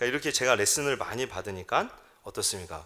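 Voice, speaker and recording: A man at medium pitch with a bright, sharp tone and vocal fry, lively intonation, a very fast pace, and a very clean recording with a silent background. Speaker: pastor. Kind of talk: sermon. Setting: church.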